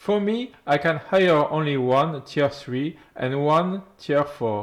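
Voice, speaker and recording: A man's fairly high voice in a French accent, with ordinary pitch variation. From France. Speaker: gaming YouTuber. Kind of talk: game guide narration.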